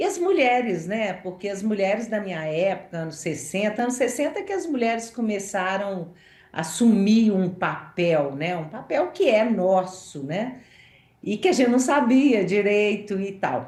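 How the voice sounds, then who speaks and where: Audible room echo surrounds a woman speaking at a fairly slow pace and medium pitch. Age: 60s. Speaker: journalist. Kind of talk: interview.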